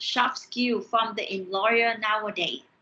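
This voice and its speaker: In a Vietnamese accent, a woman with a bright, sharp tone and fairly high pitch speaks at a fairly slow pace. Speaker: university lecturer. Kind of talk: online lecture. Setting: online class via screen share. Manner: halting, with repeated words.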